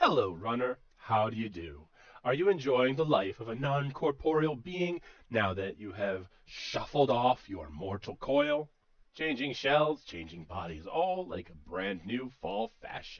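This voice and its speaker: Putting on a character voice, a man talks at a medium pitch and a fairly slow pace. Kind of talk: radio play performance of game text. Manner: mocking, theatrical.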